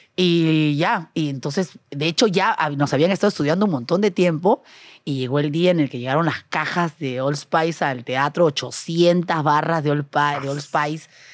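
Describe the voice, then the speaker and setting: The speaker sounds energetic at a fairly slow pace, captured on a very clean recording with a silent background. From Peru, Trujillo. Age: 40s. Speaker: TV and YouTube producer. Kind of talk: casual chat.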